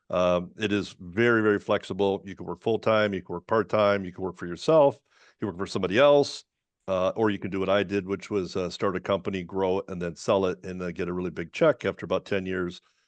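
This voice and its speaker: The voice moves at a very fast pace with ordinary pitch variation over a quiet background. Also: man, very deep, low pitch for a man, dry, close sound with no echo. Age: 60s. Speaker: home inspector. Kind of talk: webinar panel talk. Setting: online webinar. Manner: halting, many fillers.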